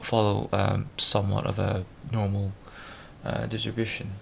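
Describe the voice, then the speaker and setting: Mumbling at a fairly slow pace, a man speaks at a fairly low pitch with vocal fry and fairly even intonation. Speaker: programmer video blogger. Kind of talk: screen-recorded tutorial walkthrough. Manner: halting, stuttering and mumbling.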